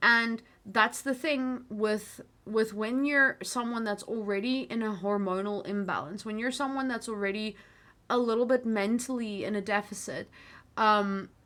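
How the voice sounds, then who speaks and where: With an American accent, a woman speaks at a moderate pace in a fairly high, bright, sharp voice with fairly even intonation, in a very clean recording with a silent background. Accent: American-sounding English, picked up in US. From South Africa, coloured community. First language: Afrikaans. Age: 30s. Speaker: livestream host. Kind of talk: live stream chat with viewers. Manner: many fillers and restarts.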